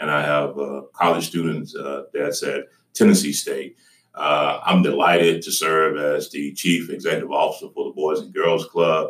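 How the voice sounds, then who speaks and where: A man with a Southern US accent at a moderate pace. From Georgia. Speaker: nonprofit chief executive. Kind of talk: interview.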